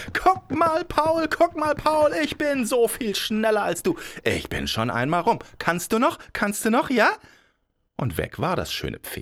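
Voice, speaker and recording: A man talks at a very slow pace in a warm, playful tone, his extremely high pitch swinging very widely. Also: very clean recording, silent background. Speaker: fairy tale podcast narrator. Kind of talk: bedtime story telling, fairy tale narration. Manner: warm, unhurried storyteller, playful; acts out characters with vain, boastful Bonnie voice versus slow, mumbling Paul.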